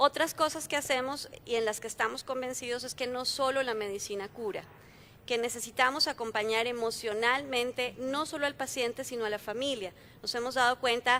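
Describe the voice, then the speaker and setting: Speaking at a moderate pace, a woman has a high pitch, a bright, sharp tone and fairly even intonation. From Colombia. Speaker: health company founder, panelist. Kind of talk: conference panel talk.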